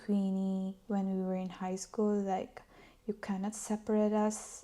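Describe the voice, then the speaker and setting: In a Filipino accent, the voice comes across flat and monotone with a dark, mellow tone. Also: woman. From Philippines. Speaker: former accountant and vlogger. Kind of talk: casual storytelling vlog.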